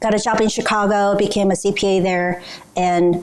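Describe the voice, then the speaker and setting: A woman speaks with a Korean accent. Noticeable background noise sits behind her voice. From South Korea. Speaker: business culture trainer. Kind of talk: training presentation.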